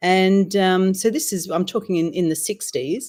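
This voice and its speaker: The voice has a dark, mellow tone, an Australian accent and lively intonation at a fairly slow pace. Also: woman. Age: 60s. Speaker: author and women's circle leader. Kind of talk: interview chat.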